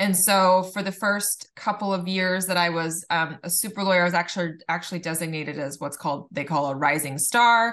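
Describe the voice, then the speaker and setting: In a Californian accent, a woman talks at a fairly quick pace and fairly low pitch with ordinary pitch variation and hardly any pauses, against a quiet background. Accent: Californian American. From Southern California, Laguna Beach. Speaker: attorney. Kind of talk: casual interview.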